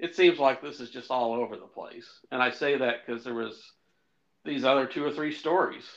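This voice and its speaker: Over a quiet background, a man talks at a fairly quick pace in a medium pitch with ordinary pitch variation, an ordinary speaking voice. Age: middle-aged. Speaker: podcast co-host. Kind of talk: casual chat.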